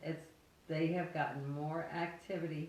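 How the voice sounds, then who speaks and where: Her pitch fairly low, a woman speaks at a very slow pace. Audible room echo and noticeable background noise are present. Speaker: haunted house owner. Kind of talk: casual chat.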